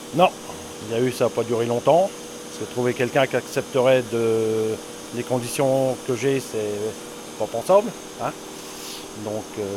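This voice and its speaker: A man speaks at a fairly slow pace with long, frequent pauses. His medium pitch has ordinary pitch variation, over noticeable background noise. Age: 60s. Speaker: dairy farmer. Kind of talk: casual chat.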